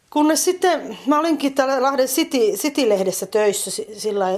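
A woman's voice with lively intonation. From eastern Finland. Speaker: drama instructor and poet. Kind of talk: casual interview. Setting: at home, partly outdoors in garden.

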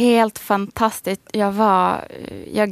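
A woman's medium-pitched voice at a fairly slow pace, fairly even in intonation, dry and close with no echo, on a very clean recording with a silent background. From Sweden, Västerås. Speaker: high school teacher and author. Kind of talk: radio interview.

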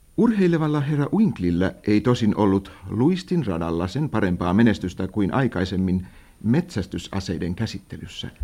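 With a dark, mellow tone and fairly low pitch, a man talks at a moderate pace using lively intonation. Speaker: narrator of radio drama. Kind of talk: vintage radio drama narration, formal literary storytelling. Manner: measured, formal and dry, in the old-fashioned radio announcer style.

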